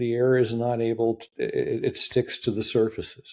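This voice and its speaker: With a dark, mellow tone, a man speaks at a medium pitch and a moderate pace. It is a very clean recording with a silent background. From Canada. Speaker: building science expert. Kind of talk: interview conversation. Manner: animated.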